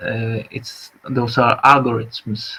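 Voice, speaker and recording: A man speaks with a Polish accent at medium pitch. His pace is fairly slow. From Poland. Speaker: artist and vlogger. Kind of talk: live stream monologue. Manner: halting, many fillers.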